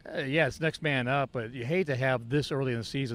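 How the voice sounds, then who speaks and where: With a normal speaking voice, a man talks at a fairly quick pace with ordinary pitch variation. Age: 50s. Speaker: sports podcast co-host. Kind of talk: casual chat.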